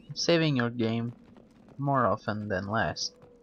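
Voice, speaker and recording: Music plays in the background as a man with a non-native accent speaks. His pace is very slow and his pitch variation ordinary. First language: not English. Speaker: gaming commentator. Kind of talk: game walkthrough commentary.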